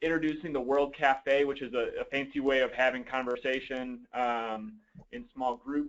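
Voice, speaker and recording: A man speaks at a fairly high pitch. His intonation stays monotone and flat. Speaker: meeting facilitator. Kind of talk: online meeting facilitation. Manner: fast.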